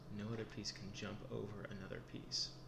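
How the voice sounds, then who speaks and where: Noticeable background noise sits behind this recording. A soft-spoken man talks at a fairly low pitch. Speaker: chess teacher in role play. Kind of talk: ASMR role play tutorial.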